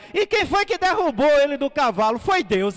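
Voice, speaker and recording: A man's voice is heard. Its pitch swings very wide. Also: dry, close sound with no echo. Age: 60s. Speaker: pastor. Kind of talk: testimony. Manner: conversational.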